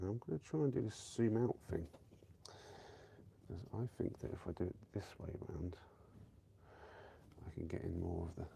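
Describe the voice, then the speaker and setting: A man speaks in a very deep, low pitch with a dark, mellow, somewhat breathy tone. His intonation is lively, broken by long, frequent pauses. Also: moderate pace. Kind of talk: casual live stream talk while playing a board game. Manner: sniffling.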